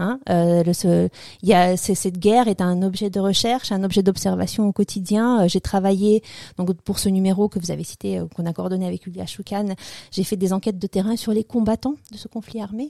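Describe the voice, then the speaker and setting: In a very clean recording with a silent background, a woman with a dark, mellow tone and medium pitch speaks at a moderate pace with fairly even intonation, the sound dry and close with no echo. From former Soviet Union. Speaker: political science lecturer. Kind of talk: interview. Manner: halting.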